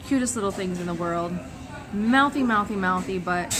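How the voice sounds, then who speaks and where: A woman talks at a fairly quick pace with ordinary pitch variation. There is noticeable background noise. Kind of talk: casual vlog talk to camera. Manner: rambling, hesitant.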